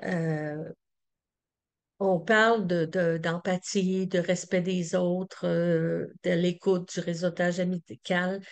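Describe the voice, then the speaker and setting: The speech is very slow, with monotone, flat intonation and very even loudness. The background is quiet. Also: woman, fairly low pitch for a woman. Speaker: community organization representative. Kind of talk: conference presentation. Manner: halting with many fillers.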